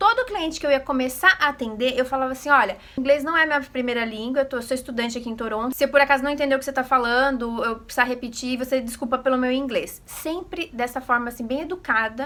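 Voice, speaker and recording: Raised and projected, a woman's high voice races at a very fast pace with ordinary pitch variation. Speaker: vlogger. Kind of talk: casual vlog talk. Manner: animated.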